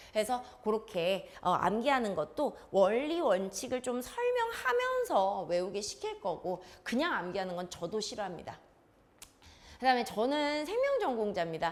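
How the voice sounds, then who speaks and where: A woman speaks in an unremarkable speaking voice at a moderate pace. Her pitch is fairly high, with lively intonation. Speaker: science academy teacher. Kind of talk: information session talk to parents.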